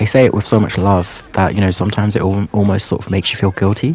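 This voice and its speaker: Against noticeable background noise, a man with a fairly low pitch talks at a very fast pace, his intonation fairly even and his loudness very even. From England, Pakistani heritage. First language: Urdu or Punjabi. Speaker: YouTuber. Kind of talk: personal storytelling monologue. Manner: hesitant, many fillers.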